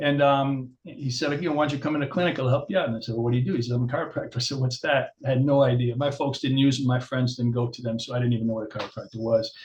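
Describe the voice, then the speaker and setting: Over noticeable background noise, a man talks at a very fast pace in a medium-pitched voice with fairly even intonation. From New York, Long Island. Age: 60s. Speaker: chiropractor. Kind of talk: interview. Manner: hesitant, filler-heavy.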